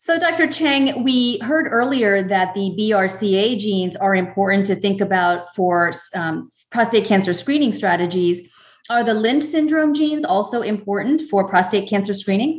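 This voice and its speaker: Her voice has a somewhat breathy quality. The woman keeps to a moderate pace. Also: medium pitch for a woman, lively intonation. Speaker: medical oncologist and podcast co-host. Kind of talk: educational podcast interview.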